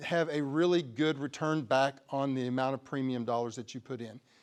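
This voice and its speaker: A man with a West Texas accent against a quiet background. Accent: West Texas drawl. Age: 60s. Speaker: crop insurance agent. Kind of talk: presentation. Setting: conference talk to audience. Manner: halting, many repeated words.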